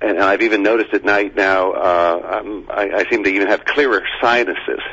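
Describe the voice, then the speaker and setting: Rather quick talking with noticeable background noise behind it. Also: man. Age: 60s. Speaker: caller, construction worker. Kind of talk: call-in radio conversation. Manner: hesitant, many fillers.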